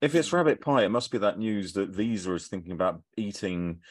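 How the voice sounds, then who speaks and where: Against a quiet background, a man speaks in an unremarkable speaking voice, fairly low in pitch, with lively intonation. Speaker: fintech commentator and quiz contestant. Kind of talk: casual quiz banter.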